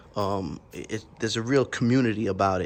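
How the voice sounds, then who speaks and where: The speaker is a man with a fairly low pitch. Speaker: vlogger, slingshot and motorcycle rider. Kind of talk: casual vlog talk to camera. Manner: halting, many fillers and repeats.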